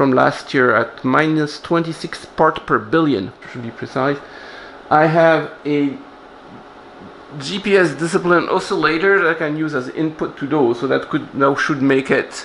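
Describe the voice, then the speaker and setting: Light background noise sits under a man talking at a fairly slow pace. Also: ordinary pitch variation. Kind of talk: tutorial. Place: workshop.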